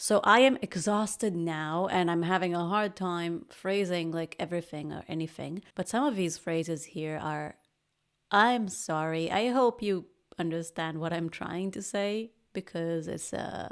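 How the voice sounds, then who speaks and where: On a very clean recording with a silent background, a woman speaks at a fairly slow pace, her fairly low pitch showing ordinary variation. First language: not English. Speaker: podcast host, product manager. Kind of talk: casual reaction commentary.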